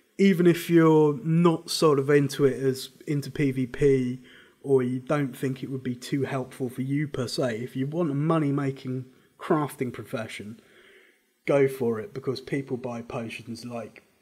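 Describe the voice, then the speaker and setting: A man's medium-pitched voice with a dark, mellow tone and ordinary pitch variation, on a very clean recording with a silent background. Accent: British. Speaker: gaming guide presenter. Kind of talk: casual game guide talk.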